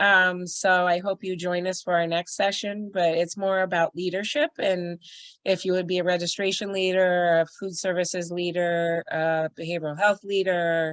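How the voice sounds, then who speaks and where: This woman speaks at a moderate pace with a fairly low pitch and monotone, flat intonation. The sound is dry and close with no echo, against a quiet background. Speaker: emergency shelter trainer. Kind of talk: online training presentation. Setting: video call. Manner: casual, filler-heavy.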